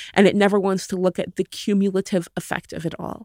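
A woman at a moderate pace, in a dry, close sound with no echo, on a very clean recording with a silent background. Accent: American. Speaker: author. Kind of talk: interview.

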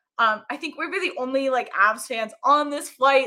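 Speaking at a fairly quick pace with an American accent, a woman has a high-pitched, bright, sharp tone and ordinary pitch variation in a very clean recording with a silent background. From US, military upbringing (Colorado-born). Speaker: hockey fan and social media personality. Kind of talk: casual chat.

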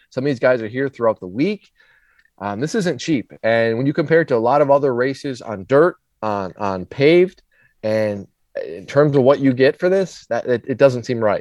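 A man with an American accent and lively intonation, an ordinary speaking voice, dry and close with no echo, over a quiet background. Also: medium pitch for a man, moderate pace. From Minnesota. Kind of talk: casual chat.

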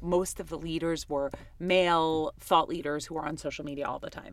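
A woman with an American accent and a normal speaking voice, fairly low in pitch, at a fairly quick pace with ordinary pitch variation, on a very clean recording with a silent background. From New York City (Queens). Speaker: agency CEO and author. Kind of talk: interview.

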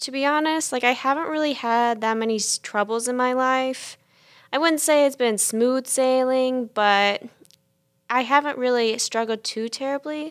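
A high-pitched woman with an American accent, moderate pace and fairly even intonation, on a very clean recording with a silent background. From US South, South Carolina. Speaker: college student. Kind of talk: casual chat.

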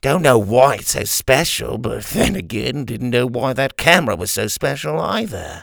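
The speaker uses a put-on character voice with vocal fry and a fairly bright tone. Delivery moves at a moderate pace with big pitch swings. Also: man, medium pitch for a man.

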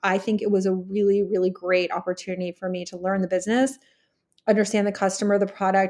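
In a very clean recording with a silent background, a woman speaks in a plain, everyday voice at medium pitch, fairly quickly, with an American accent. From Texas. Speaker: HR executive and networking community founder. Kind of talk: interview conversation.

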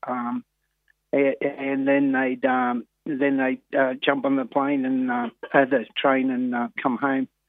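A man with an Australian accent, medium pitch and monotone, flat intonation. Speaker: harness racing trainer. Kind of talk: phone interview. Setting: phone call. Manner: halting.

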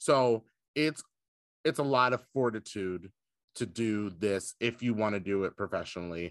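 A man with an American accent has a normal speaking voice, fairly low in pitch with ordinary pitch variation. He goes at a moderate pace, and the sound is dry and close with no echo over a quiet background. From Indiana. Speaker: drag queen. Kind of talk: casual interview chat.

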